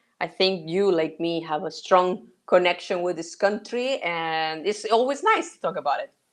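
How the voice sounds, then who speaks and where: A woman with a Spanish accent, medium pitch, ordinary pitch variation and a moderate pace, against a quiet background. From Mexico. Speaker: sourcing consultant. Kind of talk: interview. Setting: live stream.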